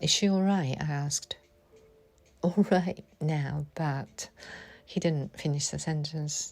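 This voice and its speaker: A woman with a very deep, low, somewhat breathy voice talks at a fairly slow pace, her pitch varying in an ordinary way. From Japan. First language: Japanese. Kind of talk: personal memoir reading.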